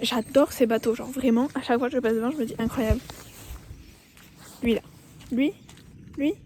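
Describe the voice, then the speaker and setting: Soft-spoken and high-pitched, a woman talks at a fairly quick pace with fairly even intonation, broken by long, frequent pauses. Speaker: vlogger. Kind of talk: casual vlog. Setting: outdoors, walking. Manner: casual, filler-heavy.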